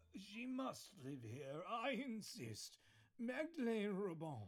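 At a very slow pace, a man talks with a high pitch and very wide pitch swings. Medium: audio drama. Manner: earnest, pious, fussy.

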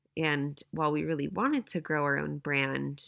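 A woman speaks at a moderate pace in a very clean recording with a silent background. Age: 20s. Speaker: podcast host and apparel business co-founder. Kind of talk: solo monologue podcast.

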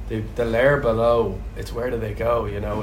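A man with a Dublin accent, plus audible room echo and noticeable background noise. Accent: Irish (Dublin). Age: 30s. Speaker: ex-rugby player and pub owner. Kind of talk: interview. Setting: in a pub with live audience.

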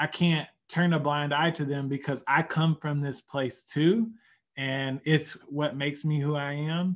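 The speaker talks in a Southern Oklahoma accent at a fairly slow pace with fairly even intonation. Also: man, fairly high pitch for a man. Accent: Southern Oklahoma accent, slower speech. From Oklahoma, US. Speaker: higher education professional and poet. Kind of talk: casual interview conversation.

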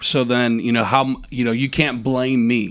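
A man with an American accent at a moderate pace, on a very clean recording with a silent background. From US Midwest, Minnesota. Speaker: pastor. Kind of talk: casual interview, personal testimony.

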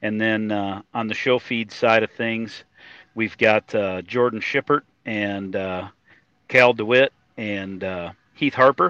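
A man's bright, sharp tone with an American accent, fairly even in intonation, in a dry, close sound with no echo. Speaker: feed company executive. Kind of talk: casual interview.

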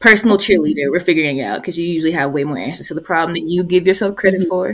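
A woman with a Southern US accent and a fairly low pitch talks at a very fast pace with hardly any pauses and big swings in loudness. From Georgia, US South. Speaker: family therapist and podcast co-host. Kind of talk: casual chat.

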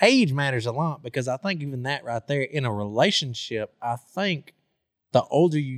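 In a very clean recording with a silent background, a man speaks with an ordinary speaking voice. His pitch is medium, his intonation lively, and his pace moderate. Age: 20s. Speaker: podcast host. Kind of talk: casual chat.

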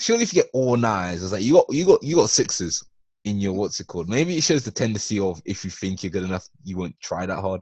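A man with an English accent, very fast pace and lively intonation. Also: fairly low pitch for a man. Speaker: podcast co-host. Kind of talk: casual chat.

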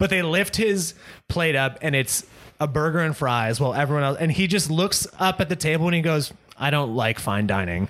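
A man talks in a plain, everyday voice at a fairly high pitch with lively intonation. He keeps a fairly quick pace and very even loudness. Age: 30s. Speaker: movie podcast co-host. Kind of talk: casual chat.

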